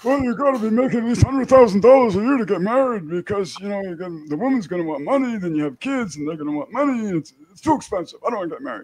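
A man puts on a character voice pitched high for a man. His pitch swings very widely, and he talks very fast. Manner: pessimistic, grumbling.

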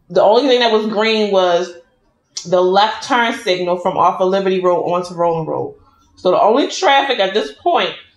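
Audible room echo hangs around a woman who talks at a moderate pace, her pitch varying in an ordinary way. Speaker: food vlogger. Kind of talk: casual storytelling vlog chat while eating. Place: home room. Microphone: phone near.

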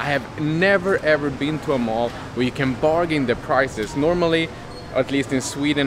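A man speaks at a moderate pace with few pauses, clear background noise behind him.

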